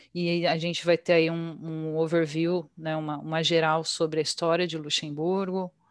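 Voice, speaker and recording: A woman speaks at a moderate pace with hardly any pauses. Her fairly low pitch stays in a monotone, flat intonation. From Brazil, Bragança Paulista (São Paulo state). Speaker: English teacher and translator. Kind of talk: casual interview.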